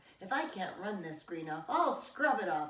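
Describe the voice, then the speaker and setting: A woman speaks at a moderate pace in a put-on character voice, medium-pitched with very wide pitch swings and a slight echo. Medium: read story.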